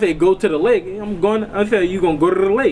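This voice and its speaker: A man talks at a very fast pace in a high voice with a New Orleans accent. Noticeable background noise runs underneath. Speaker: interviewee. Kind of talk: casual interview.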